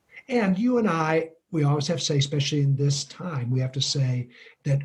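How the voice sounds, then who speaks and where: A man speaks at a fairly high pitch. His voice is somewhat breathy. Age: 60s. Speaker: leadership coach and author. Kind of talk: interview conversation.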